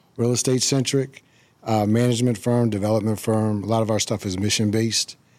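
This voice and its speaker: The speaker's intonation is monotone and flat, at a fairly quick pace. Loudness stays very even throughout. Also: man, medium pitch for a man. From Washington DC area (Prince George's County). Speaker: real estate entrepreneur. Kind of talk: casual chat.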